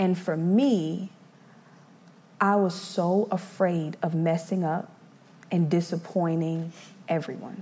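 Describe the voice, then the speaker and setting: With a fairly low pitch and a dark, mellow, somewhat breathy tone, a woman talks very slowly, leaving long, frequent pauses. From South Carolina (Eastover), moved from Brooklyn as toddler. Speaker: church youth ministry volunteer. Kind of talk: testimony. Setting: stage with audience.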